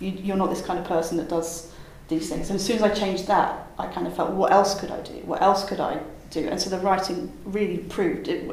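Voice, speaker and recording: Amid noticeable background noise, a woman talks at a fairly quick pace and a medium pitch in a monotone, flat delivery. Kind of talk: interview answers, casual advice. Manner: hesitant, tentative, thoughtful.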